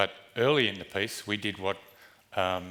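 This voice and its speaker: A man's fairly low voice with a bright, sharp tone at a fairly quick pace. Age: 60s. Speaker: dialysis patient giving a conference talk. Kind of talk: conference speech. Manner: halting.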